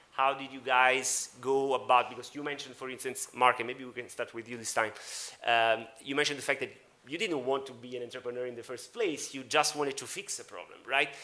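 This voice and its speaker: With an Italian accent, this man talks at a medium pitch with fairly even intonation and big swings in loudness. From Italy. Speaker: media entrepreneur and panel moderator. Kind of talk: panel discussion. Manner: halting, many fillers.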